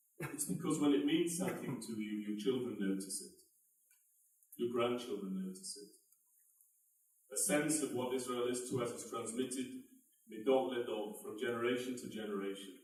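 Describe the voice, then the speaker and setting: A man speaks at medium pitch and a moderate pace with lively intonation. His loudness swings widely, with long, frequent pauses and audible room echo. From United Kingdom. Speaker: advocacy organization leader. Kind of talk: closing speech. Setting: event with audience. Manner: formal.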